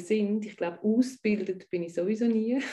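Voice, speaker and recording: In a Swiss accent, a woman speaks at a medium pitch with a dark, mellow tone, ordinary pitch variation and a somewhat breathy quality. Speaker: tantra bodyworker and life coach. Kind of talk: interview conversation. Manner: halting, with frequent word repetitions.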